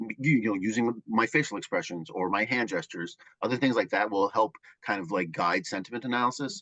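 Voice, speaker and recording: Speaking at a very fast pace, a man uses lively intonation at a medium pitch. The tone is bright and sharp, and the sound is dry and close with no echo. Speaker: project manager. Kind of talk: casual chat. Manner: mumbling.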